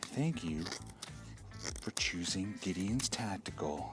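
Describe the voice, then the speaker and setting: A man puts on a robotic character voice at a fairly low pitch while clear music plays in the background. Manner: terrifying, robotic, ominous.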